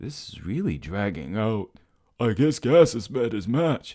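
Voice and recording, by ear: Lively intonation from someone reading aloud in a natural voice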